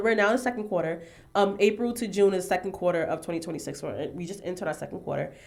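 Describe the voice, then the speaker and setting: Talking very fast, a woman is heard against noticeable background noise. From New York City, Harlem. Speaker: fashion designer. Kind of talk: casual podcast interview. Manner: chatty, animated.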